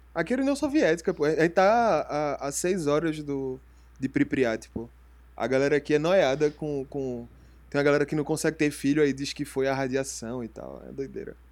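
A man with a fairly high pitch talks in a plain, everyday voice, moving at a moderate pace with ordinary pitch variation. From Recife, Pernambuco, Brazil. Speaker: podcast co-host. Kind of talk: casual chat.

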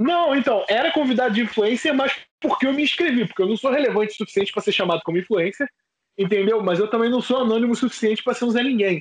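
Very fast, a man talks at an extremely high pitch. His loudness stays very even, with ordinary pitch variation. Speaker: podcast co-host. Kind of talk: casual chat.

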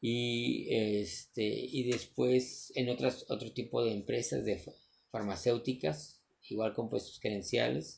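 At a very slow pace, a man speaks in a medium pitch with ordinary pitch variation and vocal fry. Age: 40s. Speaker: entrepreneur vlogger. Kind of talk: motivational monologue. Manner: halting.

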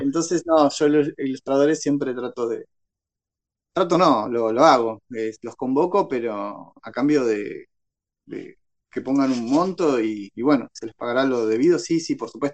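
This man has an ordinary speaking voice, fairly high in pitch, moving at a fairly slow pace with ordinary pitch variation and big swings in loudness. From Paraguay, Ciudad del Este. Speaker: novelist and secondary school literature teacher. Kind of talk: interview.

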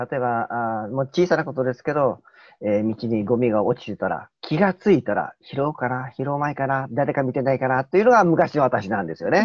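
Using a plain, everyday voice, a man talks at a fairly quick pace and medium pitch with lively intonation. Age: middle-aged. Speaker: lecturer and youth mentor. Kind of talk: casual group chat on livestream.

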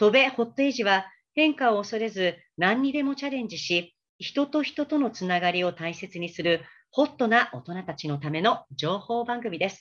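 Against a quiet background, a woman speaks at a moderate pace and a fairly high pitch, her pitch swinging very widely. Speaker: freelance announcer. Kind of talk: talk show hosting. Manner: formal.

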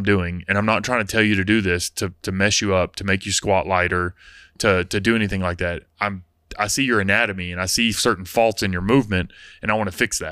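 On a very clean recording with a silent background, a man's fairly low voice has a bright, sharp tone and fairly even intonation at a very fast pace. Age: 30s. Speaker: CrossFit gym coach. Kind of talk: casual chat.

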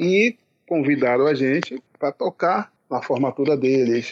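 An ordinary speaking voice from a man, fairly high in pitch, at a fairly slow pace with ordinary pitch variation and very even loudness, in a dry, close sound with no echo. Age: middle-aged. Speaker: pagode musician, band founder. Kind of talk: casual interview.

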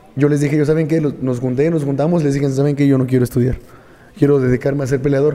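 The man's fairly high voice keeps fairly even intonation amid noticeable background noise. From Mexico, Tula de Allende, Hidalgo. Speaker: mixed martial arts fighter and coach. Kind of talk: casual chat.

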